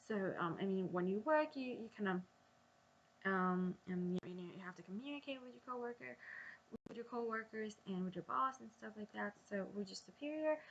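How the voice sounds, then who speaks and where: At a moderate pace, a woman with a medium pitch talks in a somewhat breathy voice with lively intonation. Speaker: vlogger. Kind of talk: casual vlog monologue. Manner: hesitant, many ums; halting with false starts.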